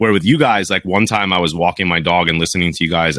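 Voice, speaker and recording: In a very clean recording with a silent background and a dry, close sound with no echo, a man with an American accent speaks at a very fast pace, his very deep, low pitch carrying a bright, sharp tone. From New Jersey, US. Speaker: pool service professional and podcast host. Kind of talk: casual chat. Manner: animated.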